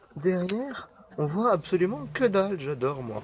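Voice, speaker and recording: Background noise is noticeable here. Over it, a man speaks fairly slowly. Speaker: YouTuber vlogger. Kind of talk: casual vlog. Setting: outdoors at a zoo. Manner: animated.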